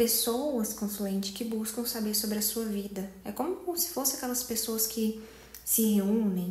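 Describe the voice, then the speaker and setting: Soft-spoken and at a fairly slow pace, a woman with a fairly high pitch talks with fairly even intonation, with audible room echo and noticeable background noise. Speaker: tarot reader. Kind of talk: tarot reading to camera. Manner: casual, conversational.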